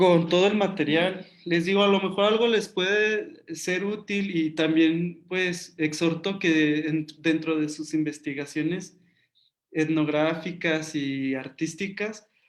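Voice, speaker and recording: Here a man talks at a very slow pace. His intonation stays fairly even. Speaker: artist and community art workshop leader. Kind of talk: online workshop Q&A and closing. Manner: many filler words, halting.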